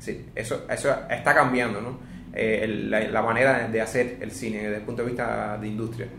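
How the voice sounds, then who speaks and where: A man speaks at a moderate pace in a medium pitch, his intonation flat and monotone. Room echo is audible, and background noise is noticeable. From Cuba. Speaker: podcast host and magazine editor. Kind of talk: casual chat about film. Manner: halting.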